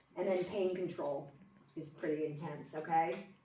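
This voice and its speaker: A woman talks fairly slowly while noticeable background noise and audible room echo fill the recording. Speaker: nursing instructor. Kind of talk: lecture. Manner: loud.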